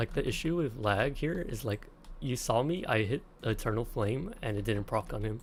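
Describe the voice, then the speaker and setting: Somewhat breathy, a man speaks at a moderate pace and medium pitch with lively intonation. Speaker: gaming streamer. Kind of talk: live gameplay commentary. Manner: quiet, near-whisper; casual, goofy.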